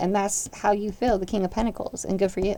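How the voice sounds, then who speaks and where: A woman's dark, mellow tone at medium pitch, very fast pace and monotone, flat intonation. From grew up partly in Germany. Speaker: tarot reader. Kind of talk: tarot reading. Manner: casual and chatty.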